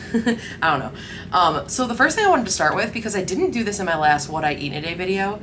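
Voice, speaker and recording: Speaking at a very fast pace and a medium pitch, a woman uses lively intonation amid audible room echo and noticeable background noise. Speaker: lifestyle vlogger. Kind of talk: casual vlog talk. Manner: stumbling over words; casual, filler-heavy.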